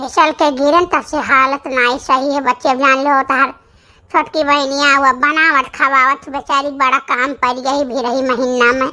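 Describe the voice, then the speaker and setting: A woman's cartoonish character voice, high-pitched, at a moderate pace, with monotone, flat intonation. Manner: affectionate, fretful.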